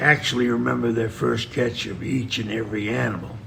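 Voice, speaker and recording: With audible room echo and noticeable background noise, a man talks at a moderate pace in a fairly low pitch. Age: 70s. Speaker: veteran trapper. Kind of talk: podcast interview.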